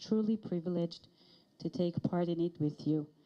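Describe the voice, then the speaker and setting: With an Israeli accent, the speaker has a dark, mellow tone and a moderate pace. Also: woman. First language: Hebrew. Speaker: director of education and research. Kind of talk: ceremony speech.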